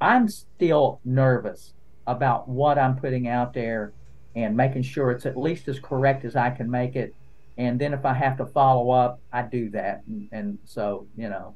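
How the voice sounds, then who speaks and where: With an Appalachian accent, a man speaks at a fairly slow pace and medium pitch, his intonation fairly even. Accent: Appalachian Southern US. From eastern Kentucky, Appalachia. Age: 60s. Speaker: lawyer and content creator. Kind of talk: podcast interview. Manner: casual, conversational with fillers.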